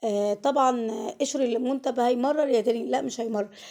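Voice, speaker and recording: Here a woman speaks in an Egyptian accent. Her pitch sits fairly high. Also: very clean recording, silent background. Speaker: cooking channel host. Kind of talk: cooking tutorial. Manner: casual, chatty.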